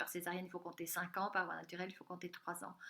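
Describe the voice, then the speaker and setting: A woman's bright, sharp voice carries audible room echo. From Central Africa (DR Congo, Katanga). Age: 50s. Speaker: health coach and conference speaker. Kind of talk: recorded conference talk.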